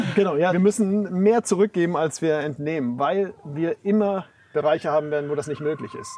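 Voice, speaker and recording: A high-pitched man at a fairly quick pace, against noticeable background noise. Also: ordinary pitch variation. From Bavaria, Germany. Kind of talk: interview. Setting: outdoors on a farm.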